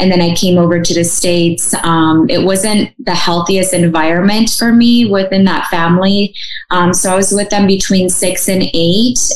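A woman with a Midwestern accent, very even loudness and fairly even intonation, against noticeable background noise. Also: medium pitch for a woman, moderate pace. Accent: American Midwest. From Russia, raised in small-town Michigan. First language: Russian. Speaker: adoptee advocate. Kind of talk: interview. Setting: video call.

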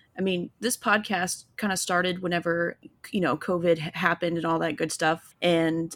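A woman with an unremarkable speaking voice and an American accent talks fairly quickly at a fairly low pitch, in a very clean recording with a silent background. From Illinois. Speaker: podcast host. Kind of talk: interview.

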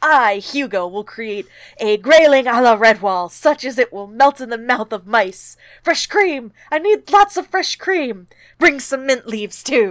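A woman puts on a squeaky character voice at a high pitch and a moderate pace, recorded very cleanly against a silent background. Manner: excited, enthusiastic.

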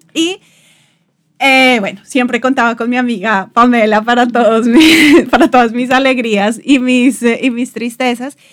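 This woman talks at a fairly slow pace with a high pitch and fairly even intonation. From Colombia, Bogotá. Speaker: podcast host, designer. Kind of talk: casual chat.

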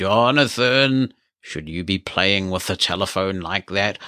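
A booming, put-on character voice moves at a fairly slow pace in a very clean recording with a silent background. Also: man, fairly low pitch for a man. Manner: scary, admonishing.

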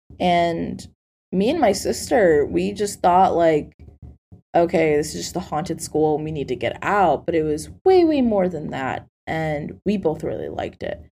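A woman takes a fairly slow pace while music sounds in the background. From Colombia. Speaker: podcast host. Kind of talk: casual chat.

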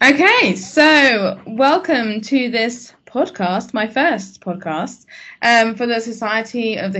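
The intonation is lively and the speech runs on with hardly any pauses. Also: woman. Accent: English. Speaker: academic podcast host. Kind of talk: casual interview. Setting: podcast.

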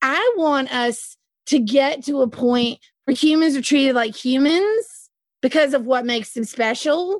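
A high-pitched woman with a Southern US accent and lively intonation. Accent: Southern US drawl. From US South. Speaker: podcast co-host. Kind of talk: casual discussion podcast.

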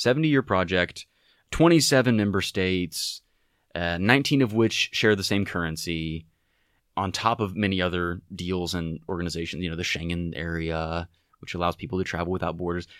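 Heard on a very clean recording with a silent background, the speech moves at a fairly quick pace with ordinary pitch variation. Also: man, very deep, low pitch for a man. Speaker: political science student. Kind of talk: casual explanatory chat.

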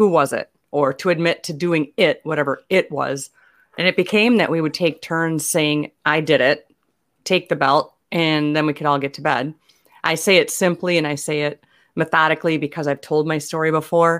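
A woman's very deep, low voice with fairly even intonation on a very clean recording with a silent background. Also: moderate pace. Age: 50s. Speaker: comedian and author. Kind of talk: interview.

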